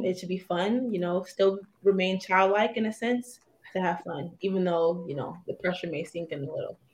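A woman's voice comes across somewhat breathy. Her loudness swings widely. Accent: American. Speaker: professional basketball player. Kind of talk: casual interview.

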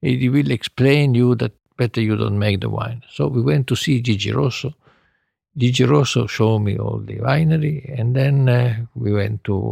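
A man speaks with an Italian accent in a dark, mellow tone. The sound is dry and close, with no echo. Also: medium pitch for a man, ordinary pitch variation, moderate pace. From northern Italy. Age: 80s+. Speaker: winemaker. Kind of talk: interview.

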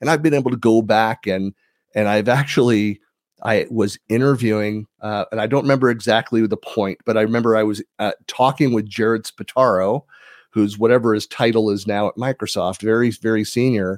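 A man with a Californian accent and medium pitch talks at a fairly quick pace with fairly even intonation. The sound is dry and close with no echo, in a very clean recording with a silent background. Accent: Californian American. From US, San Francisco Bay Area (East Bay). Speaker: tech community leader and podcaster. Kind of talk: casual interview. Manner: hesitant, many fillers.

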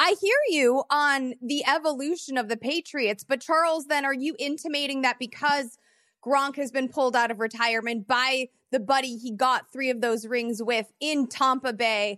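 A woman with an American accent and a high pitch, bright, sharp tone, moderate pace and ordinary pitch variation, in a dry, close sound with no echo over a quiet background. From Chicago. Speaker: sports debate show host. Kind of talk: moderated sports debate.

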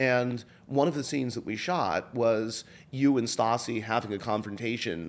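This man has a plain, everyday voice, medium in pitch, with lively intonation. He talks at a moderate pace in a very clean recording with a silent background. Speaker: podcast host and producer. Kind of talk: interview.

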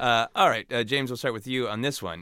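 At a fairly quick pace, a man talks at medium pitch with a bright, sharp tone. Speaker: podcast host. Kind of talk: casual chat. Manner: animated, laughs often.

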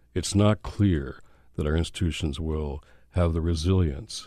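A man with an American accent speaks at a fairly slow pace in a very deep, low, dark and mellow voice. His intonation is fairly even, and the background is quiet. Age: old. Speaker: faith leader and activist, author. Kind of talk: interview conversation.

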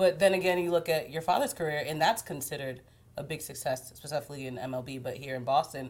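Talking at a very fast pace, a woman with a very deep, low pitch shows ordinary pitch variation and big swings in loudness. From Haitian-American. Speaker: TV news interviewer. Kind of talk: interview. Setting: apartment.

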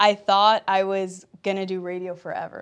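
A woman with an ordinary speaking voice, medium in pitch, at a moderate pace on a very clean recording with a silent background. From Compton, Los Angeles. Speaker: athlete and entertainment host. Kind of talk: interview.

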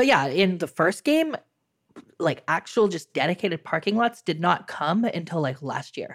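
A woman speaks at a moderate pace with lively intonation and a fairly low pitch. Hers is an unremarkable speaking voice. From United States. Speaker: city-builder game content creator. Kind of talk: casual chat.

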